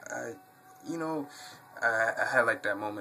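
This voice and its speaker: Noticeable background noise accompanies this recording. A man at medium pitch speaks in an American accent. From New York City, Brooklyn. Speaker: YouTuber, wrestling fan. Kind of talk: Q&A video monologue. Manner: halting, many fillers.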